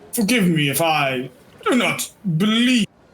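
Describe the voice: This is a put-on character voice at a middle pitch. The pace is fairly slow.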